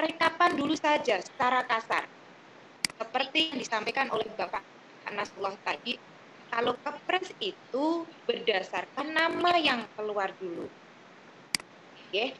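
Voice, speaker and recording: Raising and projecting her high voice, a woman speaks fairly slowly with very wide pitch swings over noticeable background noise. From Central Java, Indonesia. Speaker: association officer. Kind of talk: online meeting. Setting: video call. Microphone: video call.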